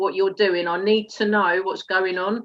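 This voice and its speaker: A woman with an Essex accent, medium in pitch, at a fairly quick pace. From England, Essex. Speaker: network marketer, former police detective. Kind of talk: interview. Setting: live stream.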